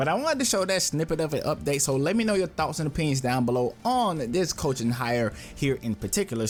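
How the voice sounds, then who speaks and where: With music playing in the background, a man with an American accent speaks with very wide pitch swings. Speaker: sports YouTuber. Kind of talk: casual commentary.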